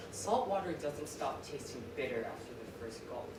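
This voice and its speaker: A man's fairly high pitch at a moderate pace, with noticeable background noise. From Vietnamese-American. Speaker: student slam poet. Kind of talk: slam poetry performance. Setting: live stage with audience.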